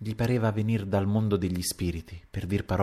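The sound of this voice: An unforced reading voice, intonation fairly even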